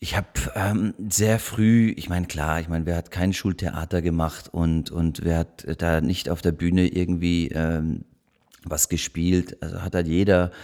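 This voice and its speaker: Speaking at a fairly slow pace, a man with a French accent has a very deep, low voice with a dark, mellow tone. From Munich, Germany. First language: French (speaking German). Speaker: actor. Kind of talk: casual chat. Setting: living room. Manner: halting.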